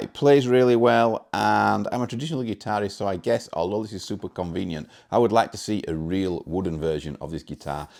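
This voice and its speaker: This man talks with a British accent at a fairly quick pace. The recording is very clean, with a silent background. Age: 40s. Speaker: guitar demo YouTuber. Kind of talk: product demo. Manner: casual.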